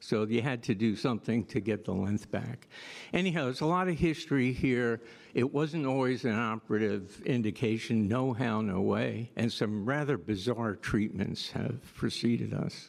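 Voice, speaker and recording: A man talks at a moderate pace with medium pitch, ordinary pitch variation and very even loudness. He has an ordinary speaking voice, over a quiet background. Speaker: orthopaedic surgeon. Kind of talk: panel discussion.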